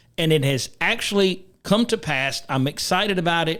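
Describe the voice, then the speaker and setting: A man's high-pitched voice moves with lively intonation. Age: 60s. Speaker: talk show host. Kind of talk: political talk show.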